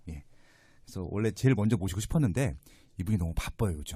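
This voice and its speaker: A man at a very fast pace, somewhat breathy, with a dark, mellow tone and lively intonation. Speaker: real estate podcast host. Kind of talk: interview podcast. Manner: conversational, with fillers.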